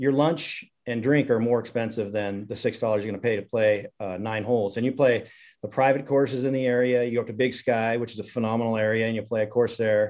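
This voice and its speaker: Against a quiet background, a man with an American accent has a normal speaking voice, medium in pitch, with fairly even intonation. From Montana (Missoula). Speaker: high school golf coach. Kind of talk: podcast interview.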